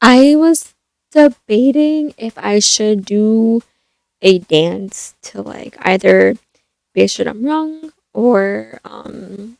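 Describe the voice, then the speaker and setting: A woman speaks softly. Her pitch sits fairly high. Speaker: YouTuber, movie reviewer. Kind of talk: casual vlog talk. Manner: soft-spoken; hesitant, many fillers.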